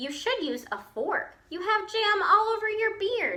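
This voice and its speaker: In a put-on character voice, a woman speaks squeaky and extremely high, with lively intonation and a fairly slow pace. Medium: read story. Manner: warm, chatty, hospitable.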